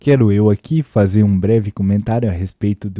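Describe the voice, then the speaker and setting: A man's dark, mellow voice, fairly low in pitch, at a moderate pace with fairly even intonation, on a very clean recording with a silent background. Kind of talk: casual critical talk to camera. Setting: home recording at night, volume boosted in editing. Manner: quiet, trying not to make noise.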